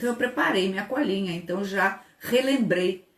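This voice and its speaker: A woman with a medium pitch talks in an animated tone that is somewhat breathy. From Brazil, Rio de Janeiro. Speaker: labor law professor and lawyer. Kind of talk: online lecture.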